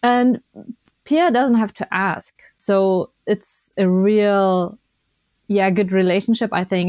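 A woman speaks with a German accent against a quiet background. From Germany. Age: 20s. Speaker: Paralympic skier and biathlete. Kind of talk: interview.

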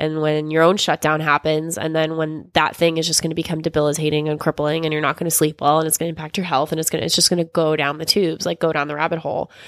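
In a very deep, low voice, a woman rattles along at a very fast pace with monotone, flat intonation. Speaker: podcast host. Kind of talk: casual chat.

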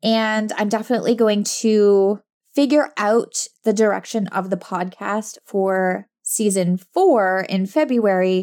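A woman of medium pitch at a very slow pace. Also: very clean recording, silent background. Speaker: podcast host and business coach for introverts. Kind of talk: casual solo monologue. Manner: frequent fillers and laughs; quiet.

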